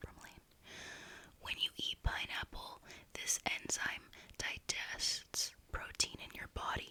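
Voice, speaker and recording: A woman is whispering. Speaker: ASMR creator. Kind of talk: ASMR whispered fact narration. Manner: soft, whispered, relaxing.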